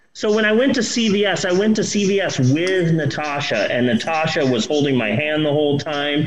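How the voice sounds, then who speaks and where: A man's pitch swings very widely as he talks at a moderate pace, with noticeable background noise behind him. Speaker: podcast host, movie reviewer. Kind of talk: casual chat.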